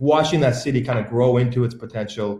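A man speaks at a fairly quick pace with medium pitch and ordinary pitch variation. His voice is somewhat breathy, with audible room echo. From Calgary, western Canada; Alberta, Canada. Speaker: entertainment lawyer. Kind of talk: panel interview. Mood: relaxed, reflective. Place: home room. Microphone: video call.

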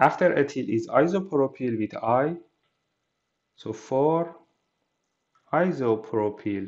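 Lively intonation from a man at a medium pitch, with a slightly mellow tone and slow pace.

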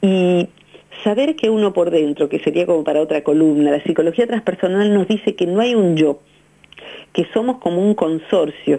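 A woman with a fairly low pitch and a dark, mellow tone, at a moderate pace, ordinary pitch variation, very even loudness and a quiet background. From Argentina. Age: 50s. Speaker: psychologist; radio guest. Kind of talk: radio interview. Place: studio.

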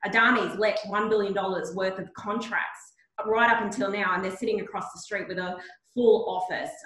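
Speaking at a moderate pace with fairly even intonation, a woman with an Australian accent is heard in a room with audible echo and a quiet background. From Mount Isa, outback Queensland; Queensland. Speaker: regional economic development executive; panelist. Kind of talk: webinar panel discussion. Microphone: video call.

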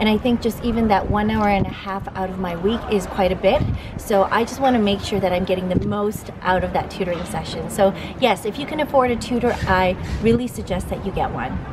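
A woman with a Canadian accent at a fairly quick pace, ordinary pitch variation, and noticeable background noise. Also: medium pitch for a woman. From Canada. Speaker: YouTuber and TV host. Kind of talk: casual vlog talk to camera. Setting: outdoors walking in the city.

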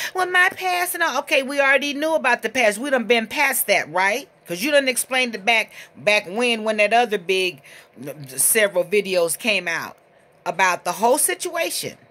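The tone is bright and sharp, with very wide pitch swings and a moderate pace. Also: woman. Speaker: commentator addressing another person. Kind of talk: casual vlog commentary. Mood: scolding, indignant. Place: home room. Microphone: phone near.

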